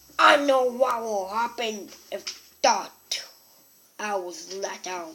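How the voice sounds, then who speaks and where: A man's put-on character voice, loud and high-pitched, at a very slow pace. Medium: read story. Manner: loud, blustering, angry.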